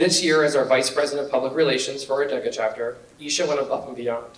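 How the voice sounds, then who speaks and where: Very fast and fairly even in intonation, a man with a fairly high pitch speaks with audible room echo and noticeable background noise. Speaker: business teacher. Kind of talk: award speech.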